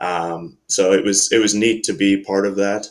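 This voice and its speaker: This is a man speaking with an American accent. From US Midwest, Cincinnati, Ohio. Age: 30s. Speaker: volleyball coach. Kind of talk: casual interview.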